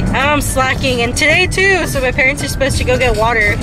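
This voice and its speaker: A woman talks at a moderate pace in a dry sound with no echo. Music plays clearly in the background. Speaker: vlogger driving. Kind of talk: casual vlog chat. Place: car.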